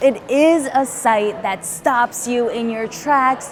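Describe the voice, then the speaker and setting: Over music in the background, a woman talks at a very slow pace in a high voice. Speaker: television news reporter. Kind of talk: broadcast news reporter stand-up and voiceover.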